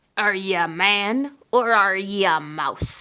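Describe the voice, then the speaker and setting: A woman in a gruff, put-on character voice, medium pitch with ordinary pitch variation, at a fairly slow pace. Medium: read story. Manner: barking, gruff.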